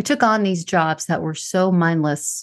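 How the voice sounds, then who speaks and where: A woman uses a normal speaking voice, talking at a moderate pace with ordinary pitch variation. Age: 40s. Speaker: podcast host. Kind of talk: monologue.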